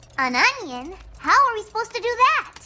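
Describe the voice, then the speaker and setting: A squeaky, put-on character voice pitched extremely high. It moves at a fairly quick pace. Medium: cartoon. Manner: loud, excitable.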